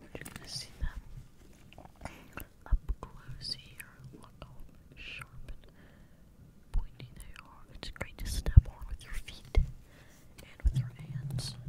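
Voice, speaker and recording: Her words come out in a whisper. The woman speaks very slowly. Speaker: ASMR creator. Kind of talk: ASMR whispered talk to camera. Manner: whispered, soft. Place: home room. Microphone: studio mic.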